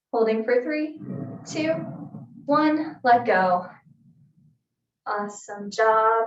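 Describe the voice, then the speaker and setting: A woman speaks at a very slow pace in a calm tone, her fairly high pitch carrying lively intonation through audible room echo. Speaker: fitness instructor. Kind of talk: exercise class instruction. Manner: soft-spoken.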